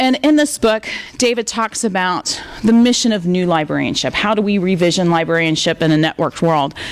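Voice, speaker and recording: A woman with an American accent speaks at a medium pitch, her loudness very even, over noticeable background noise. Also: fairly quick pace. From US South. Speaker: library director, guest speaker. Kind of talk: lecture. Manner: fast.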